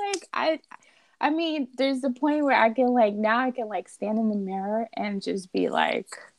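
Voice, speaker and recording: A woman's fairly high voice at a moderate pace, lively in intonation, with a dry, close sound and no echo. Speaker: nurse. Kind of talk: casual chat.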